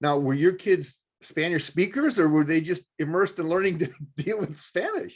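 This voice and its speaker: With ordinary pitch variation, a man talks at a high pitch and a moderate pace. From Chicago. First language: another language, son of immigrants. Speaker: TV show host. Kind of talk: interview.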